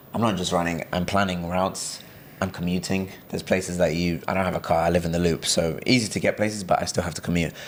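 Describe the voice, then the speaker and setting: With an English accent, a man delivers very deep, low-pitched speech at a very fast pace in a monotone, flat intonation. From England (born in Brazil). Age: 20s. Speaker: runner, graduate student. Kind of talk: casual interview chat.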